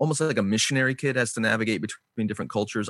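A man talks at a very fast pace with a Chicago accent and lively intonation. The background is quiet. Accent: Chicago-area American. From Chicago suburbs, US Midwest. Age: 40s. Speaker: author and minister, podcast co-host. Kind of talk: interview conversation.

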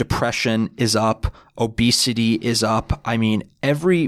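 A medium-pitched man with a New York accent on a very clean recording with a silent background. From New York City (Bayside, Queens). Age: 20s. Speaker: political club president. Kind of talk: casual interview.

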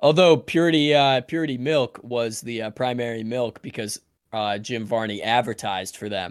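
Recorded very cleanly against a silent background, the speaker keeps a moderate pace with ordinary pitch variation. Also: man, medium pitch for a man. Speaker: YouTube creator and voice for a film news channel. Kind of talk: casual chat.

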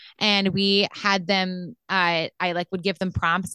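Recorded very cleanly against a silent background, a woman speaks fairly slowly at a medium pitch, and the sound is dry and close with no echo. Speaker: actor and podcast producer. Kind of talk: casual interview chat. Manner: halting, many fillers.

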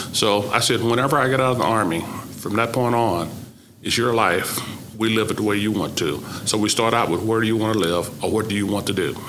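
Over noticeable background noise, a man speaks at a fairly quick pace and fairly low pitch, with very even loudness and ordinary pitch variation. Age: 70s. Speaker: retired army colonel and public speaker. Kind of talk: interview storytelling.

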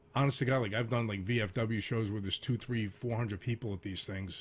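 A man's fairly low, somewhat breathy voice at a fairly quick pace, with fairly even intonation. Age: middle-aged. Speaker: comedian and DJ. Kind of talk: casual chat. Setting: studio.

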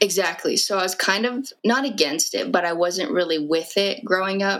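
With a normal speaking voice, a woman talks at a moderate pace and medium pitch, her intonation lively. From Canada, Fort McMurray, Alberta. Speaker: rapper. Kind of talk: interview.

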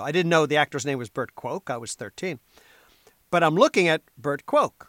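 A man with a plain, everyday voice and an American accent at a fairly high pitch and moderate pace, in a dry, close sound with no echo. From New Jersey. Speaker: voice actor. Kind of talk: interview.

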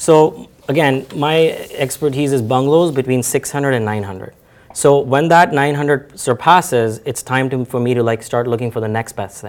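Here a man speaks with an ordinary speaking voice at medium pitch. His pitch varies in an ordinary way, and his pace is moderate. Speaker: real estate agent. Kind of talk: interview.

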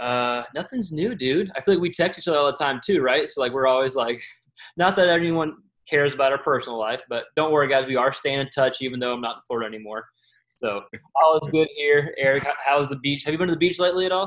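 A man's fairly high pitch at a very fast pace, with ordinary pitch variation. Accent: American. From Texas.

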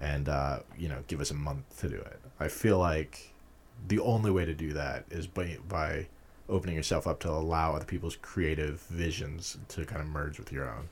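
This man's very deep, low voice carries a noticeable vocal fry. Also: ordinary pitch variation, moderate pace. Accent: American. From Utah. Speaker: filmmaker. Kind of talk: casual interview.

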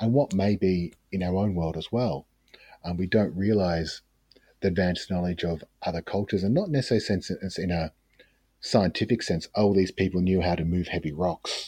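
A man with an Australian accent, a dark, mellow tone and ordinary pitch variation at a fairly quick pace, in a dry, close sound with no echo over a quiet background. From rural Australia. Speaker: practicing magician and occultist. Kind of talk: casual interview. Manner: hesitant, with fillers.

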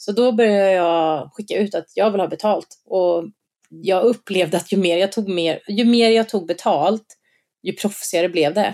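Speaking in a dark, mellow tone, a woman keeps a medium pitch, a moderate pace and ordinary pitch variation. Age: 30s. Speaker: influencer and shop owner. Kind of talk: interview. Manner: hesitant, many fillers.

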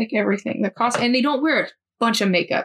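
Vocal fry runs through a woman's fairly high voice as her pitch varies in an ordinary way. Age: 30s. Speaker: podcast host. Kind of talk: casual chat.

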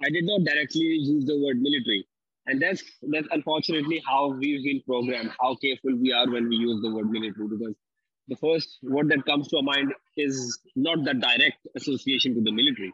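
A man with a fairly high pitch and ordinary pitch variation speaks very fast. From Pakistan. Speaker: journalist. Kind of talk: interview.

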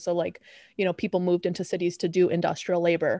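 A woman in a Chicago accent speaks with fairly low pitch and flat, monotone intonation, the sound dry and close with no echo on a very clean recording with a silent background. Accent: Chicago American. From US Midwest, Chicago. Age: 30s. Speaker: environmental sociologist. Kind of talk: interview.

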